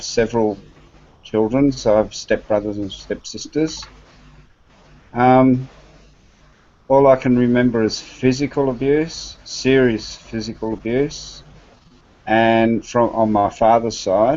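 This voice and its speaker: With an Australian accent, a man of medium pitch speaks at a very slow pace, leaving long, frequent pauses and keeping his intonation fairly even. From Australia (Western Australia, Victoria). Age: 60s. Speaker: adoptee panelist. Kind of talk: personal testimony. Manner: halting, many fillers.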